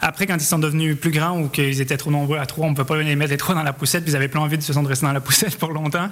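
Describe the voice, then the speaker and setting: With a Quebec accent, a man with a fairly high pitch speaks very fast in a monotone, flat intonation, with hardly any pauses and very even loudness over noticeable background noise. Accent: Québécois. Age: 30s. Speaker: amateur runner. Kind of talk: radio interview.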